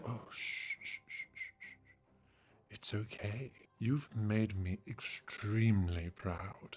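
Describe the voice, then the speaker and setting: A man uses a put-on character voice at medium pitch, speaking at a very slow pace. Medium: solo performance. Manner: smooth, controlling.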